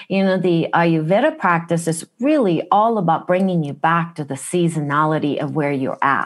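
Speaking with a Japanese accent, a woman uses a fairly low pitch, ordinary pitch variation and a moderate pace with hardly any pauses, against a quiet background. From Japan, Kumamoto (Kyushu). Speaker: wellness practitioner. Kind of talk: interview. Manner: direct, blunt.

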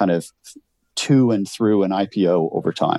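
A man speaks with a very deep, low pitch and a dark, mellow tone. The recording is very clean with a silent background and a dry, close sound with no echo. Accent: Canadian. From rural Canada. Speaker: HR executive. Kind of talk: interview.

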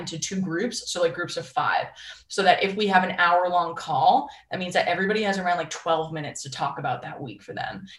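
Fairly quick speech from a woman with an American accent and medium pitch, over noticeable background noise. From Boston, US Northeast. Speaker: life coach. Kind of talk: interview.

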